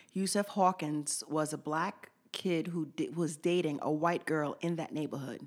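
This is a normal speaking voice. Its intonation is fairly even. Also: woman, fairly low pitch for a woman. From St. Lucia, raised in US from age 4 (New York). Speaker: activist, former basketball coach. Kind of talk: interview.

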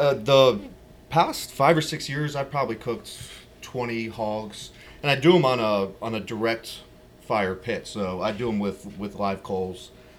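A man with an American accent speaks at a fairly slow pace and a medium pitch. His pitch varies in an ordinary way, with music in the background. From Virginia. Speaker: pitmaster and caterer. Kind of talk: casual chat.

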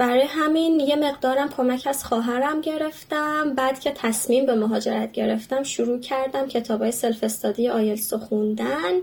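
Over noticeable background noise, the speech moves at a moderate pace with hardly any pauses and ordinary pitch variation. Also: woman, high pitch for a woman, very even loudness. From Iran, Yazd. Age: 20s. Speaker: audiologist, immigrant. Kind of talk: interview, casual chat.

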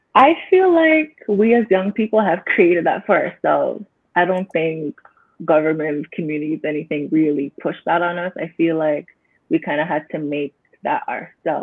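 Here is a woman with an ordinary speaking voice and a fairly low pitch. She moves at a fairly quick pace. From Canada. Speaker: young professional. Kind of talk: panel discussion.

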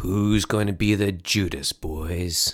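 A man booms and bellows in a gravelly, put-on character voice. He keeps to a fairly slow pace and a fairly low pitch. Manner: bellowing, booming.

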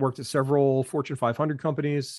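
With an American accent, a man speaks over a quiet background in a dry, close sound with no echo. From New Jersey. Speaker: Navy veteran. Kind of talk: interview.

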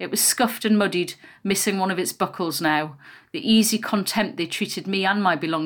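The voice reads in a natural way. Its pitch varies in an ordinary manner.

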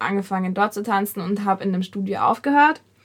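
Here a woman with an unremarkable speaking voice talks at a fairly quick pace in a medium pitch. The recording is very clean, with a silent background. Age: young. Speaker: podcast host, dancer. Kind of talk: casual chat.

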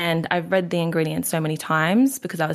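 A woman speaks with an Australian accent in a fairly low voice. The recording is very clean, with a silent background. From Queensland, Australia. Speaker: natural health practitioner. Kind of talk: interview.

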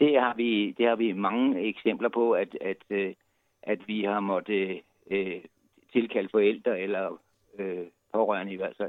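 The delivery is fairly slow with long, frequent pauses. Intonation stays fairly even throughout. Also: man, fairly low pitch for a man. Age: 60s. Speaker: volunteer night-walk organizer. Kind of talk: interview. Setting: phone call. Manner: halting.

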